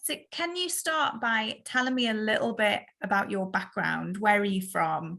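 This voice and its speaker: A woman with a North East England accent, bright and sharp in tone, fairly high-pitched with very wide pitch swings, at a moderate pace with hardly any pauses, on a very clean recording with a silent background. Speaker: podcast host. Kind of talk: podcast interview.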